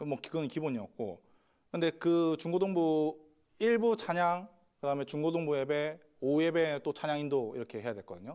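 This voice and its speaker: Here a man has a fairly high pitch. He speaks at a moderate pace. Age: 30s. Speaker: pastor. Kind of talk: sermon.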